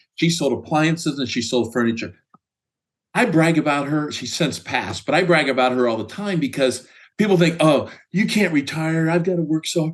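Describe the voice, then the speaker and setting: A fairly quick pace, ordinary pitch variation, and a Midwestern American accent. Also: man, fairly high pitch for a man. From US Midwest, Indiana. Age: 60s. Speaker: sales executive. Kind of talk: interview.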